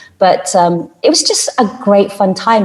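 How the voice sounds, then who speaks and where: A woman with a British accent. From United Kingdom. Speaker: journalist and TV and radio presenter; voice-over artist. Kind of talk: interview answer.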